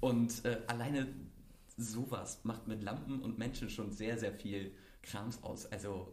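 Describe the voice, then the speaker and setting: At a very slow pace, a man speaks at medium pitch with fairly even intonation and a somewhat breathy sound. Audible room echo surrounds his voice. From Mecklenburg-Vorpommern, Germany. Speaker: podcast host. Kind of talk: casual chat.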